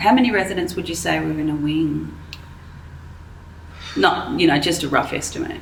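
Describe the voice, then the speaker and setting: Through noticeable background noise, a woman keeps a moderate pace, broken by long, frequent pauses. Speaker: interviewer. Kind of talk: interview questions.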